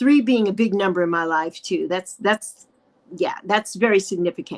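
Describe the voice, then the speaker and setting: A woman with an American accent speaks at a moderate pace with lively intonation, recorded dry and close with no echo. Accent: New York accent, comes out occasionally. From New York, the Bronx. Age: 60s. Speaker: YouTuber. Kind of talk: interview conversation.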